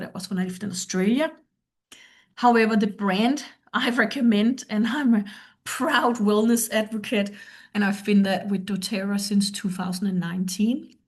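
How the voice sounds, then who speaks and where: At a moderate pace, a woman talks in a somewhat breathy voice with ordinary pitch variation. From Denmark. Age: 50s. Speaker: performance coach. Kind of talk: presentation. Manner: halting.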